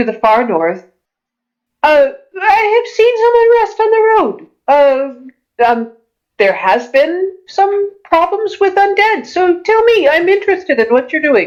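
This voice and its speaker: A woman puts on a squeaky character voice at an extremely high pitch. She speaks at a fairly slow pace with very wide pitch swings. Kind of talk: mock-archaic courtly speech. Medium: actual play. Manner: warm, formal, gracious.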